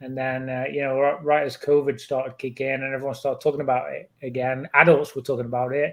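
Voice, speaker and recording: Very fast and with hardly any pauses, a man speaks in a monotone, flat delivery at a medium pitch in an English accent. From England. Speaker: pokemon card collector and youtuber. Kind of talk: podcast interview, casual chat.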